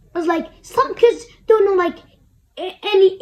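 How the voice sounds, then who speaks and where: A woman speaks at a fairly slow pace in an extremely high pitch. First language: Kurdish. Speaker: language learning vlogger. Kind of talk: tutorial. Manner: halting.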